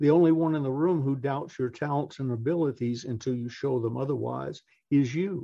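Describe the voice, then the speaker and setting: Speaking with a Southern US accent, a man uses a fairly high pitch, ordinary pitch variation and a moderate pace. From US South, Atlanta. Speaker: motivational speaker. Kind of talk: interview. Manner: animated.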